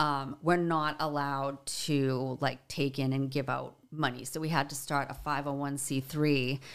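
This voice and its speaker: A woman's very deep, low voice in a Boston accent, fairly slow and monotone with flat intonation. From Boston, Dorchester. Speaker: musician and songwriter advocate. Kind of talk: casual interview.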